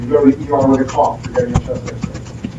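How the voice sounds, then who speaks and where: An American-accented male speaker against noticeable background noise. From US Northeast, New Jersey. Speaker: radiology lecturer. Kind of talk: lecture.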